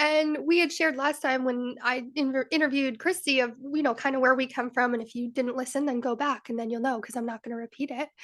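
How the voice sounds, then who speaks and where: A woman talks at a very fast pace with hardly any pauses and a high pitch. The background is quiet. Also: fairly even intonation. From Rhode Island, US. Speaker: wellness and mindset coach, podcast co-host. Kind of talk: interview, personal story.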